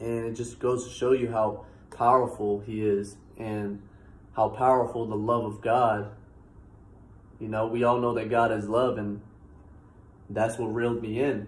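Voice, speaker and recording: With an American accent, a man speaks at a fairly slow pace in a monotone, flat intonation, somewhat breathy, with long, frequent pauses and audible room echo. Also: medium pitch for a man. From Massachusetts, US. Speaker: YouTuber. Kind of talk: testimony. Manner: casual, halting with fillers. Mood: relaxed, earnest. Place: home room. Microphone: phone near.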